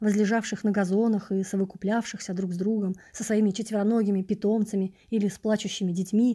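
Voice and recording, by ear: Someone is reading aloud in a natural voice, keeping the intonation fairly even.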